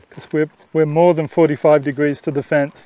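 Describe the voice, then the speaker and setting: A man speaks with a fairly high voice. The sound is dry and close, with no echo. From Australia. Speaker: horse trainer. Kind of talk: instructional talk during riding lesson. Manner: casual, conversational.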